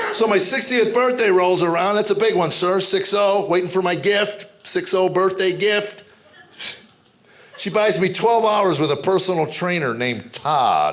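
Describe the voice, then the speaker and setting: Audible room echo and noticeable background noise accompany a man's speech. He talks at a moderate pace in a high pitch with ordinary variation. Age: 60s. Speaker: comedian. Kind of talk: stand-up. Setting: stage with audience.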